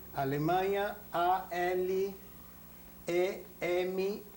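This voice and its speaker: A man speaking at a very slow pace in a high pitch, with audible room echo. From Belgium (Antwerp), born in Berlin. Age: 60s. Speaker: Holocaust survivor. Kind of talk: oral history interview. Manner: formal.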